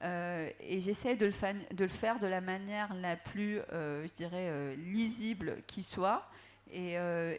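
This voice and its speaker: A woman at medium pitch with ordinary pitch variation. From Algeria. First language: Arabic (speaking French). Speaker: writer. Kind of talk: panel discussion. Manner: hesitant, many fillers.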